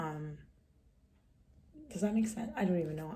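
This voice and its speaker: A woman talks at a fairly quick pace with ordinary pitch variation. Audible room echo is present. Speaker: vlogger. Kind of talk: casual vlog talk. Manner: hesitant, many fillers.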